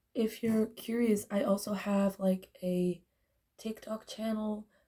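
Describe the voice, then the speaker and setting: Somewhat breathy, with a dark, mellow tone, a woman of fairly high pitch speaks at a very slow pace in a monotone, flat intonation. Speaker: beauty vlogger. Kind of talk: makeup tutorial. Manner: casual, hesitant.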